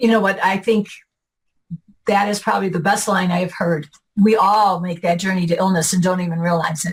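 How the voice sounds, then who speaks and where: At a fairly quick pace, a woman speaks with a somewhat breathy medium-pitched voice and fairly even intonation. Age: 60s. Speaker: retired client of a health practice. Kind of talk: interview.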